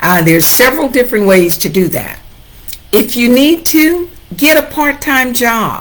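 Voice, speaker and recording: A woman in an American accent speaks at a high pitch and a moderate pace. Her pitch swings very widely over noticeable background noise. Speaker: real estate agent. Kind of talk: livestream talk. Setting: Facebook Live.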